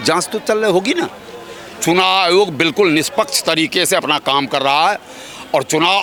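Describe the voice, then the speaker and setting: A man with a high pitch uses a raised, projected voice. Noticeable background noise runs behind him. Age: 60s. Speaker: interviewee in street public interview. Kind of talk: political street interview.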